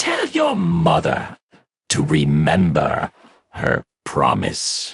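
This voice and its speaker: Very slow delivery from a man doing a put-on character voice. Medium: read story. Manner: archaic, scolding.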